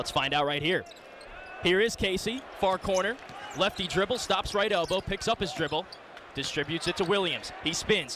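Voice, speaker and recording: With noticeable background noise around him, the man talks at a high pitch, his pitch varying in an ordinary way. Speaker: radio play-by-play sports broadcaster. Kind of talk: radio sports play-by-play commentary. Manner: fast-paced, excited, energetic live action calling.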